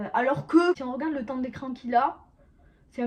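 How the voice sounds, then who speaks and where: A woman with a southern French accent talks at a very fast pace and a high pitch. Her intonation is fairly even, and there is noticeable background noise. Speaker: YouTuber, series reviewer. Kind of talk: casual video review to camera. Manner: halting, many hesitations.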